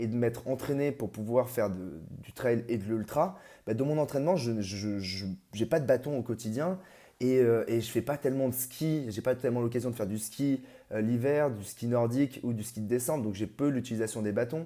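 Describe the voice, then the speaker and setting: On a very clean recording with a silent background, a man speaks at a medium pitch with a dark, mellow tone and ordinary pitch variation. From Paris region, France. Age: 30s. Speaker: amateur ultra trail runner. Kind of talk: interview. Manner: halting, many hesitations.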